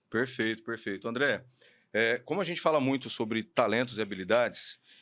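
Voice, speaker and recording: Heard on a very clean recording with a silent background, a man with an ordinary speaking voice talks at medium pitch with ordinary pitch variation. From Paraná, Brazil (Maringá). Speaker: podcast host, HR educator. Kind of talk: podcast interview.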